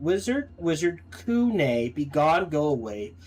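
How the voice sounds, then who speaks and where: A man does a put-on character voice, fairly high in pitch, with very wide pitch swings and a fairly slow pace. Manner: weeping, pained.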